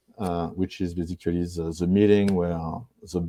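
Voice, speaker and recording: In a French accent, a man talks at a fairly quick pace. His tone is dark and mellow. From France. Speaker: marketing executive. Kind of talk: interview. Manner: halting.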